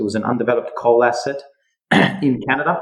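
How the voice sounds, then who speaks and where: Speaking in an Australian accent, a man uses ordinary pitch variation. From Western Australia (Perth). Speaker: mining and metals company founder. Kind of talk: podcast interview. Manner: hesitant, many fillers.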